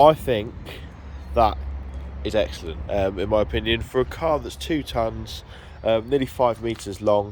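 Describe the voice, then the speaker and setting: A man with a fairly low pitch and vocal fry talks at a moderate pace. His pitch swings very widely, and he leaves long, frequent pauses. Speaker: car channel vlogger. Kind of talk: car review vlog. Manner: hesitant, many fillers.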